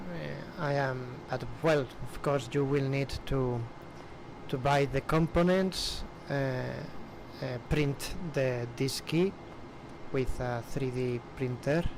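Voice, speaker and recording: A man with a Spanish accent, fairly high pitch and ordinary pitch variation, at a very slow pace, over noticeable background noise. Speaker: flight simulator streamer. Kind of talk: casual livestream chat. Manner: halting.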